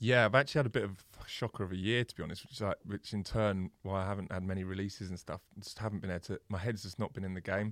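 A man at a very fast pace with hardly any pauses, fairly low pitch and fairly even intonation, on a very clean recording with a silent background and a dry, close sound with no echo. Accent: English. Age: 30s. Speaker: DJ and producer. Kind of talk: casual chat.

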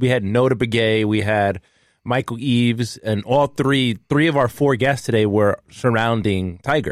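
An unremarkable speaking voice comes through with fairly even intonation and very even loudness. The recording is very clean, with a silent background. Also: man, medium pitch for a man, moderate pace. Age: 20s. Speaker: podcast host. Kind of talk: casual chat.

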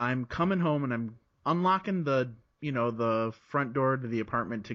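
A man's plain, everyday voice with an American accent, medium pitch and a moderate pace. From Chicago area, US Midwest. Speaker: podcaster. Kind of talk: casual interview chat.

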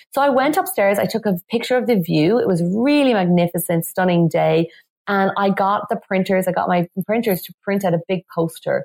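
A woman speaks at a moderate pace in a medium pitch with ordinary pitch variation, her voice sounding dry and close with no echo. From west of Ireland, Galway. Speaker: business coach and feng shui expert. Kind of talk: interview.

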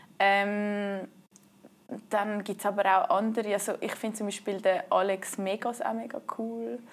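With ordinary pitch variation, a woman speaks fairly slowly. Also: medium pitch for a woman, very clean recording, silent background. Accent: Swiss. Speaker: canoe polo player. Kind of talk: interview.

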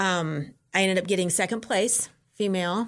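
A woman with an unremarkable speaking voice talks at a medium pitch and moderate pace in a very clean recording with a silent background. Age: 50s. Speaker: ultramarathon runner. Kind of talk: casual interview.

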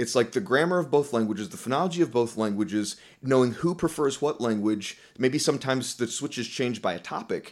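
A man's very fast, medium-pitched speech with lively intonation, on a very clean recording with a silent background. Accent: American. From US South. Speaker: professor of linguistics. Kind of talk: interview.

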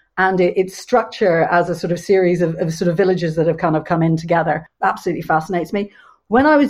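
A woman with an Irish accent speaks at a fairly low pitch with ordinary pitch variation. The background is quiet. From Ireland, Dublin. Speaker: economic historian. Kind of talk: panel discussion.

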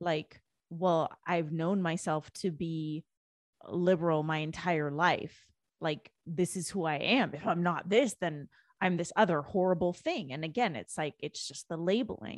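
Heard in a dry, close sound with no echo, a woman with a Canadian accent and a plain, everyday voice speaks at a fairly slow pace and fairly low pitch with ordinary pitch variation. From Canada, Indian immigrant family. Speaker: author and spiritual coach. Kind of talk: personal testimony in interview.

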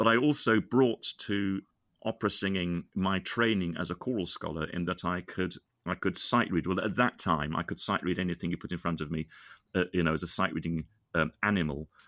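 In a British accent, a man with a very deep, low pitch and ordinary pitch variation talks at a fairly quick pace, the sound dry and close with no echo in a very clean recording with a silent background. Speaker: singer and composer. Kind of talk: casual chat.

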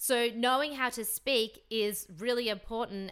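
A woman talks in an animated, energetic way at a fairly high pitch with ordinary pitch variation. Her tone is bright and sharp. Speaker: podcast host. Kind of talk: solo motivational podcast monologue. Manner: casual, chatty with filler words.

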